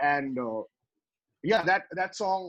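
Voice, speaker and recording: A man speaks with a Tamil accent. His intonation is lively. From West Bengal, India (Tamil family). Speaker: rapper. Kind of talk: interview. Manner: halting, many fillers.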